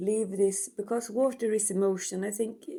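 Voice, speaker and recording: The speaker talks at a fairly slow pace in a Swedish accent. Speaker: tarot reader. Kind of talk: tarot reading; casual chat. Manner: halting.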